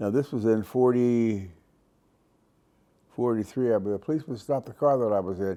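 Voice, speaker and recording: With an American accent, a man talks at a medium pitch in a dark, mellow tone. His pitch varies in an ordinary way, and he leaves long, frequent pauses. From US Midwest, Cleveland, Ohio. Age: 90s. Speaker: war veteran. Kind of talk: personal testimony. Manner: halting, with fillers and repetitions.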